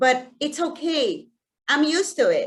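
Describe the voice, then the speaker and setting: A woman with a Mexican accent and very wide pitch swings. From Mexico. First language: Spanish. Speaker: community outreach director. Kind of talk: personal talk to an audience. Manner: halting, with frequent repetitions; slow.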